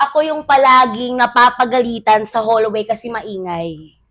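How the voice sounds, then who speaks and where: At a moderate pace, a woman speaks in a high-pitched voice with a bright, sharp tone. The recording is very clean, with a silent background. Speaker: teacher, podcast co-host. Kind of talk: casual chat. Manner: talkative.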